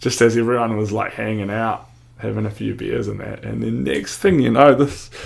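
A man with a New Zealand accent at a fairly quick pace. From New Zealand, Wanaka. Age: 30s. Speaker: professional snowboarder. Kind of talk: casual chat.

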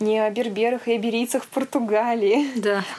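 An unremarkable speaking voice from a woman, fairly high in pitch, fairly even in intonation, at a moderate pace. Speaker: podcast co-host. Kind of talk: casual chat. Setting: video call.

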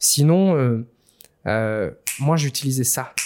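A man's dark, mellow voice with lively intonation, recorded dry and close with no echo. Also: very clean recording, silent background. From Réunion. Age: 30s. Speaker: author and speaker on spirituality. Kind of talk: interview.

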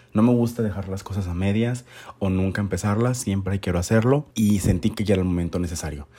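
Fairly low in pitch, this man's voice has a dark, mellow tone and ordinary pitch variation. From Mexico, Monterrey, Nuevo León. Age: 30s. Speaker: podcast host, photographer. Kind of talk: casual podcast intro monologue.

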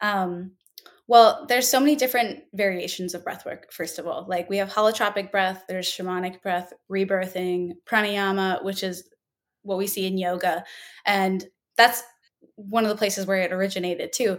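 In a plain, everyday voice with an American accent, a woman speaks at medium pitch and a moderate pace, with ordinary pitch variation, on a very clean recording with a silent background. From Minnesota, US Midwest. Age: 20s. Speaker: yoga and breathwork teacher. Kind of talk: casual interview.

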